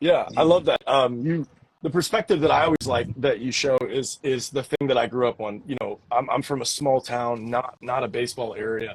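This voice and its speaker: This man's voice is somewhat breathy and sits at medium pitch. His pitch varies in an ordinary way. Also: moderate pace, hardly any pauses, dry, close sound with no echo. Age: 30s. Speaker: podcast host and baseball pitcher. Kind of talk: casual interview chat.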